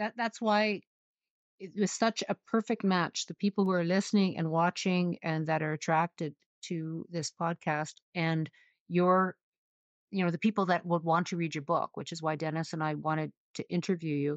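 A woman with a Canadian accent speaks in an unremarkable speaking voice, fairly low in pitch, with fairly even intonation at a moderate pace. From Saskatoon, Canada. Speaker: podcast co-host. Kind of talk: casual interview.

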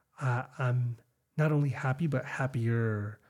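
Somewhat breathy male voice, medium-pitched, fairly even in intonation, at a fairly slow pace. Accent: American. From Chicago, US. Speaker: podcast host, teacher. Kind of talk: casual chat.

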